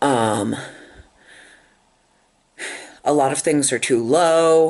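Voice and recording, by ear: A squeaky voice speaks at a very slow pace. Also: ordinary pitch variation, slightly mellow tone.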